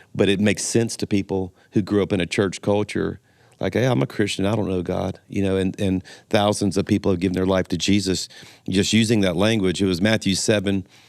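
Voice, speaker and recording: A man's fairly low, monotone, flat delivery in a Southern US accent, on a very clean recording with a silent background. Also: fairly quick pace. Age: 60s. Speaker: pastor. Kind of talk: podcast interview.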